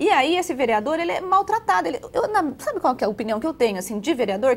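Very wide pitch swings at a fairly quick pace. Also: woman. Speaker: political commentator, blogger. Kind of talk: televised political panel discussion. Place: studio.

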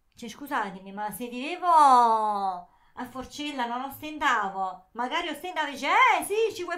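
In a raised, projected voice with a bright, sharp tone, a woman speaks at a moderate pace with very wide pitch swings and hardly any pauses over a quiet background. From southern Italy. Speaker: YouTuber. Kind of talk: casual chat. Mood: ironic, defiant. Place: home room. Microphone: handheld.

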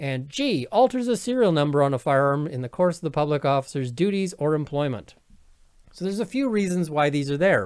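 This man talks at a fairly quick clip with a Canadian accent, his pitch swinging very widely. The background is quiet. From Canada. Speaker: lawyer and video commentator; lawyer, video commentator. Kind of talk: legal commentary monologue. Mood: opinionated, venting. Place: home room. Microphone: webcam.

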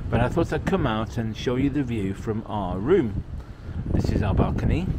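A man talks at a fairly quick pace. Loud background noise runs under his voice. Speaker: travel vlogger. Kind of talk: casual vlog chat. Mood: cheerful, enthusiastic. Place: street. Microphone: phone near.

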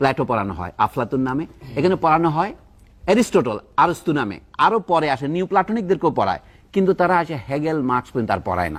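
A man with a fairly high pitch and vocal fry speaks with very wide pitch swings. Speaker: academic commentator on education. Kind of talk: talk show discussion. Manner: formal.

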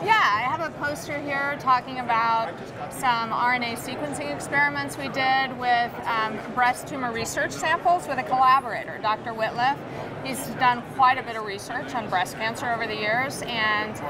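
A woman talks at a moderate pace with noticeable background noise behind her. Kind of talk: interview answer. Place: hall. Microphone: lapel.

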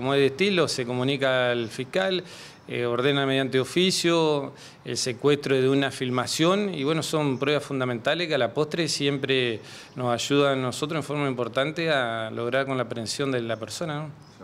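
A man speaks at a moderate pace. His pitch is fairly high, with ordinary pitch variation. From Argentina, Entre Ríos province. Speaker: police chief. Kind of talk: press interview; interview answer. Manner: halting, many fillers. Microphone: handheld.

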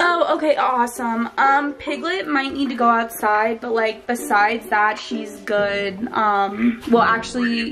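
Speech comes at a fairly slow pace with ordinary pitch variation against noticeable background noise. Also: woman. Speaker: vlogger. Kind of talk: casual vlog chat and phone call. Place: home room. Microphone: phone near.

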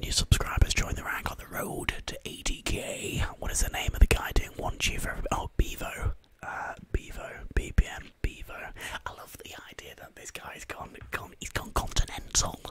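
Whispering at a moderate pace, a man lets his loudness swing a lot. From northern England, Carlisle, Cumbria; northern England. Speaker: ASMR live streamer. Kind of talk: whispered casual live-stream chat. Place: home room. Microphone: studio mic.

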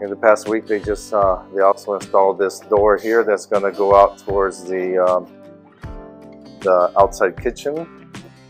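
Faint music plays in the background as a man speaks at a moderate pace. His fairly low voice keeps fairly even intonation. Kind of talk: casual vlog chat. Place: home room. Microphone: phone near.

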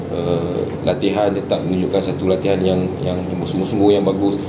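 A man talks at a fairly quick pace in a low voice with little pitch movement. The background is clear of noise.

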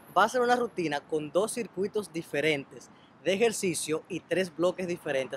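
High-pitched man at a moderate pace with ordinary pitch variation, in a dry recording with no echo and light background noise. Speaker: nutrition coach. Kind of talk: casual vlog chat, workout intro. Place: open country.

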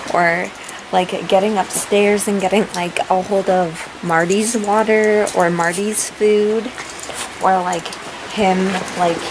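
Over noticeable background noise, a woman speaks at a very slow pace. Her intonation is monotone and flat. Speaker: vlogger. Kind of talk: casual vlog chat. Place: home room. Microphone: phone near.

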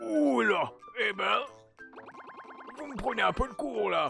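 A fairly high put-on character voice at a fairly slow pace, with clear music in the background. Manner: hesitant, halting.

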